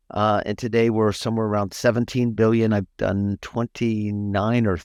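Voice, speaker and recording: Against a quiet background, a man with a fairly low pitch talks at a moderate pace with fairly even intonation. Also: hardly any pauses. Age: 60s. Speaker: financial firm CEO and advisor. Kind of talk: interview. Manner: halting, many fillers.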